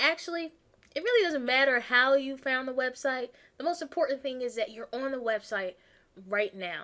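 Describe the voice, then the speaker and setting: Projecting her raised voice, a woman speaks at a high pitch in a bright, sharp tone with ordinary pitch variation. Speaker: weight loss coach. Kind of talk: sales pitch. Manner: fast; animated.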